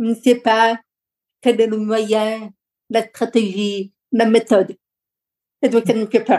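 Delivered at a very slow pace with long, frequent pauses, the voice has a monotone, flat intonation and a dark, mellow tone. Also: woman, fairly high pitch for a woman. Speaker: lawyer, coach and public speaker. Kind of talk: interview conversation.

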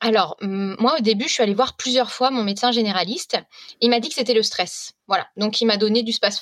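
In an unremarkable speaking voice, a woman talks at a fairly quick pace with hardly any pauses, her pitch fairly high with ordinary pitch variation, in a dry, close sound with no echo. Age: 30s. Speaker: food blogger. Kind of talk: casual chat.

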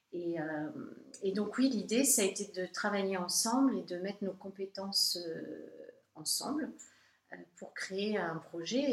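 A woman's medium-pitched voice at a very slow pace. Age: 40s. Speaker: art gallery and framing shop owner. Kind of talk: interview. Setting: in her shop.

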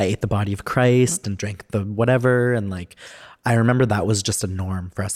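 Fairly even intonation from a man, dry and close with no echo. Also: very clean recording, silent background. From Alberta, Canada (Edmonton, Cree reserves). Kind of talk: casual interview chat.

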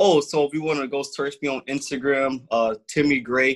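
An ordinary speaking voice from a man with an American accent, medium in pitch, fairly even in intonation and moderate in pace, with a dry, close sound and no echo. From Grand Rapids, Michigan. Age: 20s. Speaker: motivational speaker and community activist. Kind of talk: casual interview.

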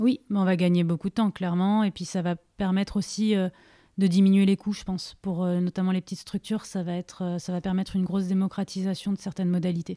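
A woman talks very fast at a medium pitch, in a dark, mellow tone with monotone, flat intonation. The sound is dry and close with no echo, on a very clean recording with a silent background. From Paris region, France. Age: 30s. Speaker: digital learning manager. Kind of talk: interview.

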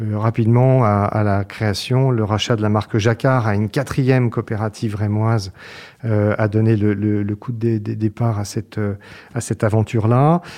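A man speaks at a moderate pace in a fairly low, dark, mellow tone. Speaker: business executive. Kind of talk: interview. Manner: hesitant, with frequent repetitions.

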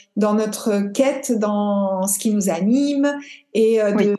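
A somewhat breathy woman's voice with a dark, mellow tone, fairly even intonation and a very slow pace. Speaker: podcast host and yoga teacher. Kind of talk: interview conversation.

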